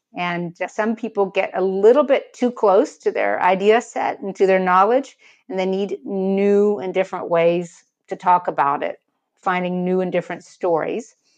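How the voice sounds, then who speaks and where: Against a quiet background, a woman with an American accent uses a plain, everyday voice at a medium pitch, moderate pace and ordinary pitch variation. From United States. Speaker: writer and thought leadership consultant. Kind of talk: interview.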